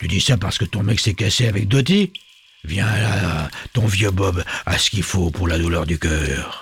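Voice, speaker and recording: A rumbling, put-on character voice moves at a moderate pace with ordinary pitch variation. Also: man, fairly low pitch for a man. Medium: read story. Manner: grumbling, coarse slang.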